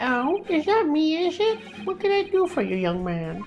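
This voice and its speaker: Clear music plays in the background. Over it comes a high-pitched, put-on character voice. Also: moderate pace. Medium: game stream. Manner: fussy, twittering.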